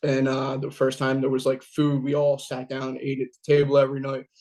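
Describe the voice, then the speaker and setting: A man with a Philadelphia accent talks at a moderate pace in a medium pitch. His intonation is monotone and flat. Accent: Philadelphia-area American. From Pennsylvania, Delaware County near Philadelphia. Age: 30s. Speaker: recovering addict telling life story. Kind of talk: personal testimony. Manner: conversational with frequent fillers.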